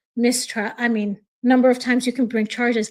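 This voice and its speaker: A woman speaks loudly at a high pitch with monotone, flat intonation. Her tone is dark and mellow. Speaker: true crime commentator. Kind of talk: live stream reaction and chat reading. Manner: loud, heated.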